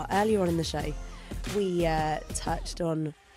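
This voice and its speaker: A woman with a British accent, fairly low in pitch, with ordinary pitch variation at a moderate pace, in a dry sound with no echo and clear music in the background. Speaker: radio presenter. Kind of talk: radio show banter. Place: studio.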